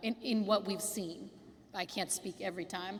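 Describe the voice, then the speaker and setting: Her delivery is monotone and flat, at a moderate pace. This woman is heard over noticeable background noise. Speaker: housing cooperative advisor. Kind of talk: community meeting Q&A. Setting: school cafeteria meeting.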